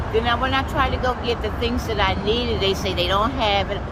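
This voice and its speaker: A woman with an American accent at a fairly quick pace, amid noticeable background noise and audible room echo. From Indianapolis, Indiana. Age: 60s. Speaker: homeless woman interviewed. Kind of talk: street interview.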